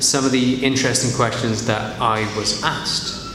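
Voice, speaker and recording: Against noticeable background noise, a man speaks at a fairly slow pace with a medium pitch. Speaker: English teacher. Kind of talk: casual talk to camera.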